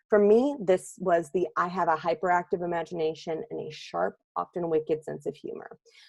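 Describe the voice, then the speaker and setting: Energetic and fairly quick, a woman with a fairly low pitch and vocal fry speaks with hardly any pauses. Her loudness swings widely while her pitch varies in an ordinary way. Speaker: seminar presenter for writers. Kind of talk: recorded webinar lecture. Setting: recording alone, no live audience. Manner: fast.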